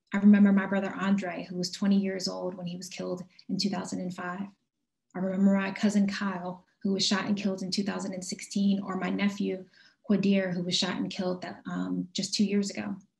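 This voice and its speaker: Over a quiet background, a woman speaks somewhat breathily at a medium pitch and a moderate pace with monotone, flat intonation. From US Northeast, West Philadelphia; Pennsylvania. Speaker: social justice advocate; speaker. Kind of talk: keynote speech. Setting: video call. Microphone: video call.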